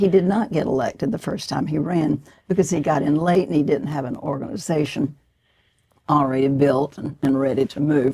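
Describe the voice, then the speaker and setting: A woman with a Southern US accent speaks at a fairly quick pace, her pitch very deep and low. Her tone is dark and mellow, and her intonation is lively. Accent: Southern American. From Georgia, USA. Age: 90s. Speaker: author and former political activist. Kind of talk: interview answer.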